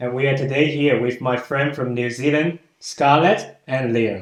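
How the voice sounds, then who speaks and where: Audible room echo surrounds a man speaking in a Chinese accent. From China. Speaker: podcast host. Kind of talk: casual chat.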